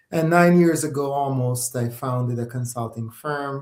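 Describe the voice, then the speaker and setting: At a moderate pace and with ordinary pitch variation, the speech sounds somewhat breathy. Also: man. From Jamaica. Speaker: socioeconomist and consulting firm founder. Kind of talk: casual interview chat. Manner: hesitant, many fillers.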